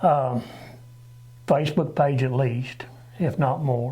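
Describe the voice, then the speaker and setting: Somewhat breathy and medium in pitch, a man speaks very slowly with a Southern US accent and ordinary pitch variation, with audible room echo. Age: 60s. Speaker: local election candidate, retired truck driver. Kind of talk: interview. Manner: halting.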